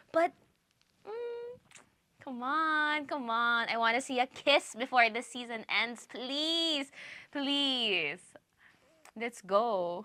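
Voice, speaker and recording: A woman's raised, projected voice, high in pitch and bright, sharp in tone, with lively intonation, a very slow pace, long, frequent pauses and big swings in loudness. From Philippines. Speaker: reaction youtuber. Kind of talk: casual reaction commentary. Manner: halting, self-correcting; animated.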